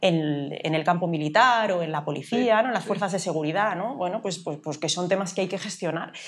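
A woman talks at a fairly quick pace with hardly any pauses. Her fairly low pitch shows ordinary variation. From Galicia, Spain (A Coruña); Galicia, Spain. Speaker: artificial intelligence expert; interviewee. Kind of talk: interview. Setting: café. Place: cafe. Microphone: lapel.

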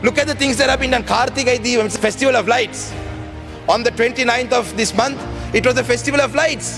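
Clear music plays in the background while a man talks at a very fast pace. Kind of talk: parliamentary speech. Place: hall. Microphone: podium.

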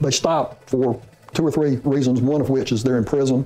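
The intonation is monotone and flat, at a fairly slow pace. Noticeable background noise runs underneath. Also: man. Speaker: former investigator or expert commentator. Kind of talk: interview.

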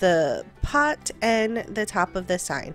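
Music sits in the background while a woman talks at a very slow pace. Her fairly high voice has lively intonation. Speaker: DIY crafter. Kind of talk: craft tutorial narration.

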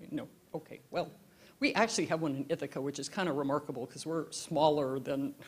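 A speaker with an American accent talks with ordinary pitch variation. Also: woman. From US Pacific Northwest and Alaska. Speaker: keynote lecturer. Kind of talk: lecture. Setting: lecture hall with live audience. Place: hall. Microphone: handheld.

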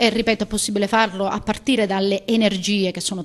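A woman talks over light background noise. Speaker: candidate. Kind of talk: interview answer. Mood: pleased, confident. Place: hall. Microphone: handheld.

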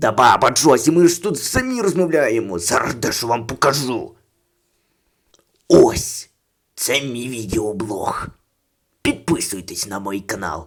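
Putting on a character voice, a man speaks at a medium pitch with very wide pitch swings and long, frequent pauses. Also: moderate pace. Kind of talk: comic overacting. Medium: fan dub. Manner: bossy, impatient.

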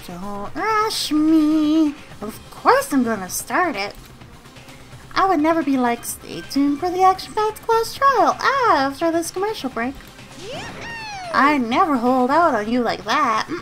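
Against clear background noise, a woman performs a put-on character voice, raised and projected, high in pitch and fairly slow in pace. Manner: playful, mocking, whiny.

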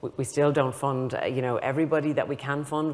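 A woman speaks with a very deep, low pitch at a very fast pace. Her intonation is monotone and flat. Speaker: research funding agency director; panelist. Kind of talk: panel discussion. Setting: conference stage with audience. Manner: repetitive, halting. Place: stage. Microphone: lapel.

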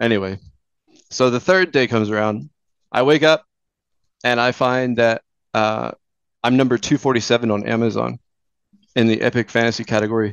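Using ordinary pitch variation, a man with a Texan accent speaks at a medium pitch with long, frequent pauses. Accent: Texan American. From Houston, Texas. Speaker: fantasy author and journalist. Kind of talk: interview. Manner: halting.

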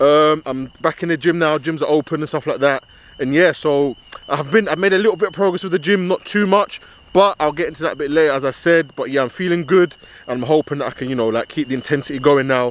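A man speaks at a very fast pace in a dry sound with no echo. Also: ordinary pitch variation. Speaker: footballer vlogger. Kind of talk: casual vlog chat. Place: stadium. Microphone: phone near.

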